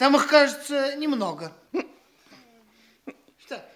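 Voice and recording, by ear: A man puts on a character voice pitched extremely high, with a fairly bright tone. He speaks slowly, his intonation lively.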